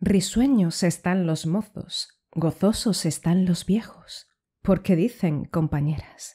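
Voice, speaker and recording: A woman's somewhat breathy, dark, mellow voice at medium pitch, dramatic in tone, with ordinary pitch variation and a very slow pace, in a very clean recording with a silent background. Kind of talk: poem reading aloud. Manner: dramatic, declamatory, with indignant, ironic tone; measured, rhythmic delivery.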